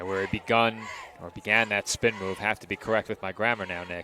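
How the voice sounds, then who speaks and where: With a New York accent, a man talks at a very fast pace. His pitch variation is ordinary, and noticeable background noise is present. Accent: Staten Island. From Staten Island, New York. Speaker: play-by-play announcer. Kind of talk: live commentary.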